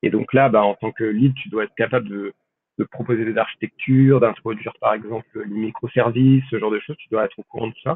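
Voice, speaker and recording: A man talks at a fairly quick pace and medium pitch, with fairly even intonation. His loudness swings widely. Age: 20s. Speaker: data scientist. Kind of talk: interview. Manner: halting.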